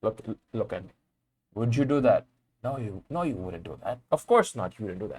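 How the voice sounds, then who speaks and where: A man with a Bengali accent speaks at a moderate pace and medium pitch, somewhat breathy, with lively intonation, big swings in loudness, and long, frequent pauses. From Bangladesh. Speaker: vlogger. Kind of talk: casual monologue to camera. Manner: halting, many repetitions.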